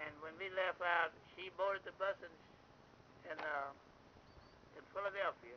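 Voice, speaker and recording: Amid light background noise, a man with an American accent and a high voice talks at a fairly slow pace with fairly even intonation. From Florida. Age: 80s+. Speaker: former bus porter. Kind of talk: oral history storytelling. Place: open country.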